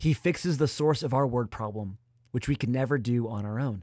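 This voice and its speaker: A man speaks at a medium pitch with ordinary pitch variation. His tone is dark and mellow. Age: 20s. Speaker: youth pastor. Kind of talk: sermon.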